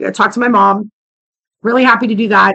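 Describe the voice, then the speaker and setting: A woman speaks at a very fast pace in an animated, bright, sharp tone. Her fairly high voice shows vocal fry. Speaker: vlogger. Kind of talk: casual rant to camera.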